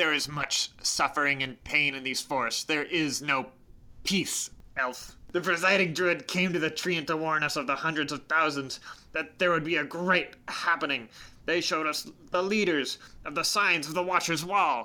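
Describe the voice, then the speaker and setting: In a very clean recording with a silent background, a put-on character voice at a middle pitch moves at a moderate pace. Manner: stern, proud, grieving.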